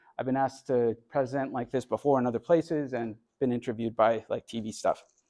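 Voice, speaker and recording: A man with an American accent speaks very fast at a medium pitch, his dark, mellow tone and fairly even intonation captured in a dry, close sound with no echo. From Texas. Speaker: immigration lawyer. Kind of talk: lecture. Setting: university talk with audience.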